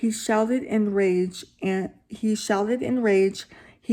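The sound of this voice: An unforced reading voice. It reads without strain.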